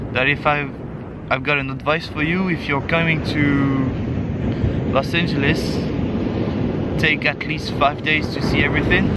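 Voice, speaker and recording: Amid loud background noise, a man speaks at a fairly slow pace, and the sound is dry with no echo. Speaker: travel vlogger. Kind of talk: casual vlog chat. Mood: relaxed, reflective. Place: beach. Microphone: camera far.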